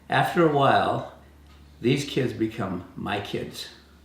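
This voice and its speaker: The voice has lively intonation and vocal fry. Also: man. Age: 80s+. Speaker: volunteer youth mentor, wood turning. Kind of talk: testimonial talk to camera. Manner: hesitant, many fillers.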